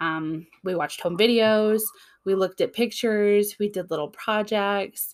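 At a moderate pace, an American-accented speaker talks with fairly even intonation on a very clean recording with a silent background. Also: woman, medium pitch for a woman. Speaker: podcast host about grief. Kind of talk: solo podcast monologue, personal and reflective. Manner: hesitant, many filler words.

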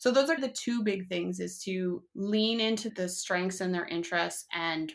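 Speaking at a moderate pace with lively intonation, a woman with a Canadian accent has a plain, everyday voice at a medium pitch, recorded very cleanly against a silent background. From Canada. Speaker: hyperlexia educator and blogger. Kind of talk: casual interview chat.

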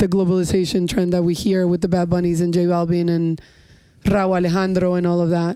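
A woman speaks at a fairly quick pace with an American accent, in a plain, everyday voice. Her pitch is medium, and the recording is very clean with a silent background. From New York (Long Island North Shore), Colombian family. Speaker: music industry executive. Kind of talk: casual chat. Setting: studio, on a couch.

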